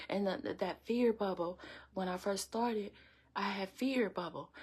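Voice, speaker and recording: Her voice is medium in pitch and somewhat breathy. This woman keeps a moderate pace. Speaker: inspirational video host. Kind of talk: motivational talk. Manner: repetitive.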